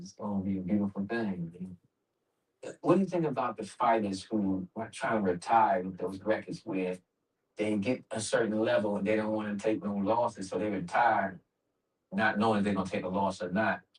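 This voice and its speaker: A man speaks in a normal speaking voice at a moderate pace. His pitch is fairly low with ordinary pitch variation. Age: 60s. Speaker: interviewer. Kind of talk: interview.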